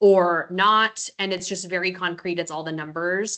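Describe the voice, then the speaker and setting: Loud and at a moderate pace, a woman speaks in a bright, sharp tone with a medium pitch and ordinary pitch variation. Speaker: residency program director. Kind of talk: Q&A webinar info.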